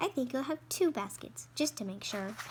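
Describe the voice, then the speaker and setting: A woman's put-on character voice at a fairly high pitch, with clear background noise. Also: moderate pace. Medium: read story. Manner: polite, earnest.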